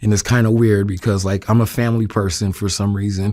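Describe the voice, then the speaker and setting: On a very clean recording with a silent background, a man with a New York accent speaks fairly quickly in a fairly low, monotone, flat voice. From New York City (Queens). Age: 40s. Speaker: interviewee sharing life story. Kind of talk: interview testimony. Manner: hesitant, many fillers.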